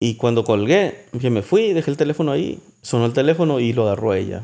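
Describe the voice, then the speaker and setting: At a moderate pace, a man with a medium pitch and lively intonation speaks in a plain, everyday voice. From Mexico, Sinaloa. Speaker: songwriter. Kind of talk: casual chat. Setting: at home.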